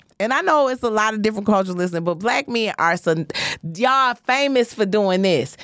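This woman talks at a fairly quick pace with an American accent and a fairly high pitch. Her tone is animated and her intonation lively. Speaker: comedian and podcast host. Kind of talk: casual chat. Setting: studio livestream.

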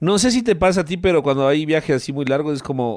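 A man talks at a very fast pace with a fairly high pitch and very wide swings in pitch. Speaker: sports radio host. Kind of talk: radio interview.

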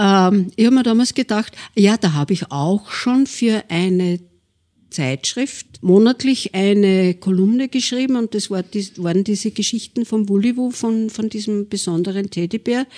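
A woman with an Upper Austrian accent talks at a medium pitch and a fairly slow pace. Her tone is dark and mellow with ordinary pitch variation, and the sound is dry and close with no echo. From Linz, Upper Austria. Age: 70s. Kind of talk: interview.

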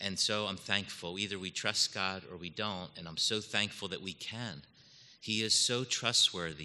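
Against a quiet background, a man with a fairly low pitch and a bright, sharp tone talks at a moderate pace with fairly even intonation. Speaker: divinity faculty member. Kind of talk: testimony.

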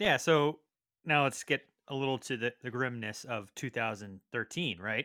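On a very clean recording with a silent background and a dry, close sound with no echo, a man with an American accent speaks at a moderate pace and medium pitch, his bright, sharp tone showing ordinary pitch variation. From Connecticut. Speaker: podcast co-host. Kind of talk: casual chat.

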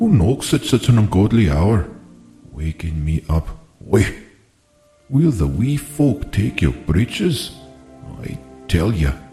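Against faint music in the background, a man puts on a gruff character voice at a fairly low pitch, swinging very widely in pitch and speaking at a fairly slow pace with long, frequent pauses. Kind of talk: archaic, folksy. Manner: grumpy, irritated at being woken.

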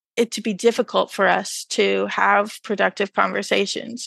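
The voice has an American accent and a dry, close sound with no echo. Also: woman. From rural Texas. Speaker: philosophy PhD student. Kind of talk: academic interview.

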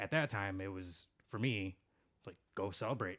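A man with an American accent speaks at a fairly low pitch with ordinary pitch variation, in an ordinary speaking voice. The recording is very clean, with a silent background. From Chicago, US Midwest. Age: 30s. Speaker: podcast guest. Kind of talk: casual chat.

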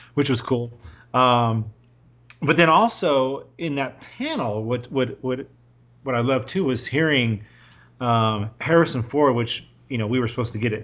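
His pitch moves in an ordinary way. The man keeps a moderate speed. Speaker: podcast co-host. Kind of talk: casual chat. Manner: animated, joking.

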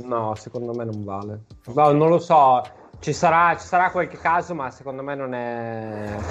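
A man at medium pitch and a fairly slow pace, with lively intonation, big swings in loudness and music in the background. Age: 30s. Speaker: podcast co-host. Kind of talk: casual chat.

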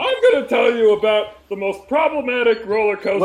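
A man does a put-on character voice, high-pitched and at a fairly quick pace. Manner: drunken, mumbling.

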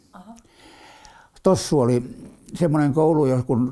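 This man's dark, mellow tone moves with ordinary pitch variation over a very clean recording and a silent background. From Helsinki, Finland. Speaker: war veteran. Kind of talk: oral history interview. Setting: at home. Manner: halting.

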